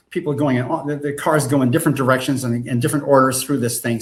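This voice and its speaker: A man with an American accent talks at a fairly quick pace. His voice is somewhat breathy. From New England, US (New Hampshire). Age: 80s+. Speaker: film and game writer and director. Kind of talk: casual interview chat. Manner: animated, enthusiastic; halting, many repeated words.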